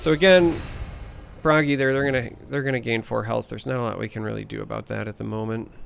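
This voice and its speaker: Talking very fast, a man has a Midwestern US accent. Noticeable background noise is audible. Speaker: gaming YouTuber. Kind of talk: gameplay commentary. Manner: casual, with filler hesitations.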